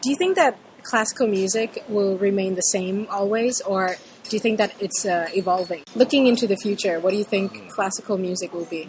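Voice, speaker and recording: Amid noticeable background noise, a woman speaks at a fairly quick pace with a medium pitch and ordinary pitch variation. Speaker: interviewer. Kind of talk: interview.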